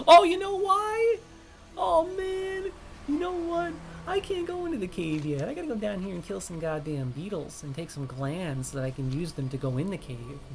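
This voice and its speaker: With music in the background, a man with an American accent speaks at a moderate pace. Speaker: gaming streamer. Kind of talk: live gameplay stream commentary. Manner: casual, profane.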